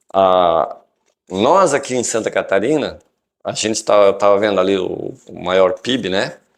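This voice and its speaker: The background stays quiet while a man delivers his words fairly slowly. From Curitiba, Paraná, southern Brazil. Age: 60s. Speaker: karate instructor. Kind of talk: interview. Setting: studio.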